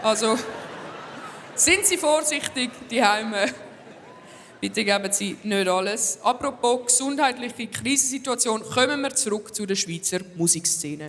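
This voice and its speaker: Over noticeable background noise, a woman with a fairly high pitch and lively intonation speaks at a fairly slow pace, leaving long, frequent pauses. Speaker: comedian. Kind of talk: stand-up monologue hosting an awards show. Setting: live stage with audience.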